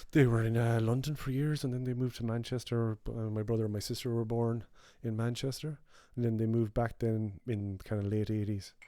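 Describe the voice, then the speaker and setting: The speaker has a western Irish accent and a dark, mellow tone. Delivery comes at a fairly quick pace with fairly even intonation. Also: man, medium pitch for a man. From west of Ireland (Clare, Mayo). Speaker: podcast co-host. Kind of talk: casual chat. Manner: halting, many fillers.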